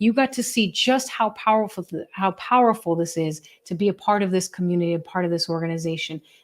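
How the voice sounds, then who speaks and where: A woman talks at a very fast pace with hardly any pauses, using a medium pitch and ordinary pitch variation. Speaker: benefit auctioneer. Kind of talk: fundraising appeal. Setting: virtual event. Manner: animated.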